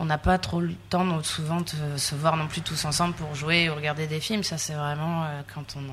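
Through noticeable background noise, a woman speaks fairly slowly in a very deep, low voice with fairly even intonation. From southern France, Sète. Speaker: fisheries technician. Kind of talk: interview. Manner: hesitant.

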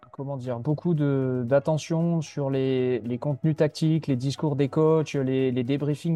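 A man's dark, mellow voice, fairly high in pitch, with flat, monotone intonation, hardly any pauses, and a dry, close sound without echo. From Landes, southwest France (Mont-de-Marsan). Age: 20s. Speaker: youth football coach. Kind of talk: interview. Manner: hesitant, word repetitions.

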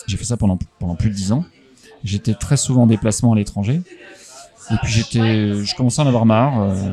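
A man's medium-pitched voice, varying in pitch in an ordinary way, comes through noticeable background noise. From France, Haute-Marne (Chaumont). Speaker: comics publisher. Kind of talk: interview. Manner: hesitant, many fillers and repetitions.

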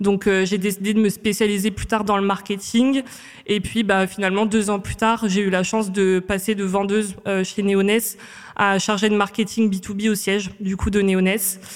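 Her medium-pitched voice is monotone with flat intonation as this woman speaks at a moderate pace. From Réunion. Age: 20s. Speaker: marketing manager. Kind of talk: interview. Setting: studio. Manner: hesitant, many fillers.

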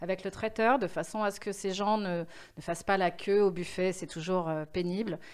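Recorded very cleanly against a silent background, a woman of medium pitch speaks at a moderate pace with ordinary pitch variation. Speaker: event agency founder. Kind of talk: interview. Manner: energetic; hesitant with fillers.

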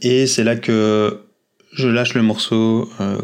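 This man speaks at a medium pitch in a calm tone. His intonation is monotone and flat. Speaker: patient sharing his brain surgery story. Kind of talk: personal testimony. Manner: halting.

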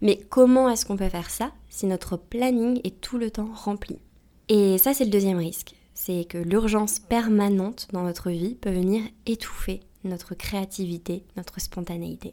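Her tone dark and mellow, a woman speaks at a fairly slow pace. Her pitch is medium and varies in an ordinary way. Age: 30s. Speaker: podcast host and emotional coach. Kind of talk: solo advice monologue.

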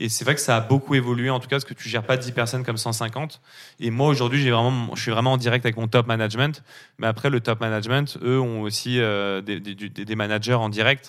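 Recorded very cleanly against a silent background, a man uses an ordinary speaking voice at a medium pitch, talking at a fairly quick pace with fairly even intonation. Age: 30s. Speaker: agency founder, entrepreneur. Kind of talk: interview.

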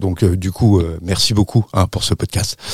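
With a dark, mellow tone and a fairly low pitch, a man speaks at a moderate pace with monotone, flat intonation. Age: 40s. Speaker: parent of premature children, association volunteer. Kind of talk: testimony.

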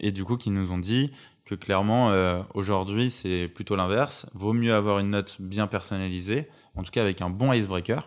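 On a very clean recording with a silent background, a man uses a normal speaking voice at a fairly low pitch, with fairly even intonation and a moderate pace. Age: 20s. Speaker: recruitment entrepreneur. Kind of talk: interview conversation. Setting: home.

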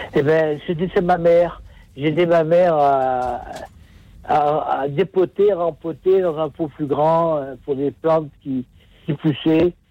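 A man's fairly high voice with a dark, mellow tone, very slow delivery, fairly even intonation, and long, frequent pauses. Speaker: caller. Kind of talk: phone-in testimony. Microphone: poor phone line.

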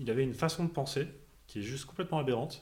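A man is talking at a fairly quick pace. His voice is somewhat breathy. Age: 30s. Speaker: finance worker, home renovator. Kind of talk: casual interview.

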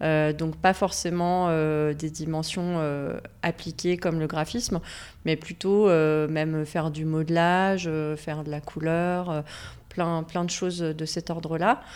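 A woman talks at a very slow pace. Her fairly low voice stays monotone and flat. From Savoie, France. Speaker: graphic designer. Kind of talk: interview.

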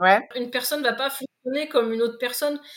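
Pitch shifts in an ordinary way here. The delivery is fairly quick. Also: woman. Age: 40s. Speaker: sophrologist and motivational coach, former firefighter. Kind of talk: interview.

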